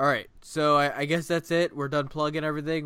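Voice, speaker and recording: Recorded very cleanly against a silent background, a man with an American accent speaks in a fairly high voice with a bright, sharp tone. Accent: Ohio accent, changing. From Ohio. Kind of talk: casual chat. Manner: halting, many fillers.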